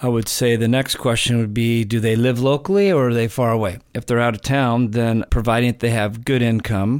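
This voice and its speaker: A man with an American accent and an unremarkable speaking voice talks at a fairly quick pace, medium in pitch with ordinary pitch variation and very even loudness. The recording is very clean, with a silent background. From California. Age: 50s. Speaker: real estate investor. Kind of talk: casual chat.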